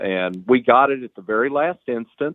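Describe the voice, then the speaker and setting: This man has an ordinary speaking voice with ordinary pitch variation. He talks at a moderate pace. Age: 60s. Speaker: hunter and outdoor writer. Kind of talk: casual interview. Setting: podcast interview.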